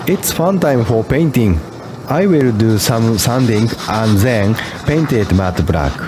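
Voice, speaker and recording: In a Japanese accent, a speaker goes very slowly with very wide pitch swings and very even loudness, noticeable background noise running underneath. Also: man, medium pitch for a man. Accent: Japanese accent, non-native English. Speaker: DIY car mechanic vlogger. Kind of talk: DIY tutorial narration. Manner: halting non-fluent English.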